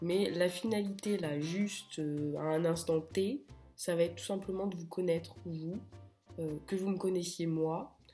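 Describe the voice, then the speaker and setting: Music plays in the background as a woman speaks at a fairly low pitch and a fairly slow pace, with ordinary pitch variation. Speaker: real estate agent. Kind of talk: casual talk to camera. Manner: humorous.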